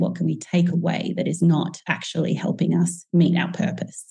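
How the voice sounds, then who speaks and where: With an Australian accent, a woman speaks at a moderate pace in a fairly low, dark, mellow voice that is somewhat breathy. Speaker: teacher and author. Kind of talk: interview.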